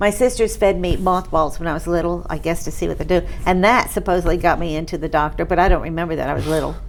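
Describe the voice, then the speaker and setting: Over noticeable background noise, a woman with a fairly low pitch talks at a very fast pace with hardly any pauses and fairly even intonation. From New York, Catskill Mountains. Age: 70s. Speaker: patient. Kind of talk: testimony. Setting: interview on camera.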